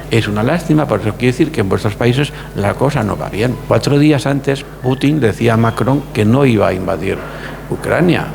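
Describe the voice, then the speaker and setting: Noticeable background noise sits behind a man speaking at a moderate pace. His voice is medium in pitch with ordinary variation. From Spain, Andalusia (Córdoba), raised in Barcelona. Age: 70s. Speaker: lawyer. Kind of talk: interview. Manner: halting, many repetitions.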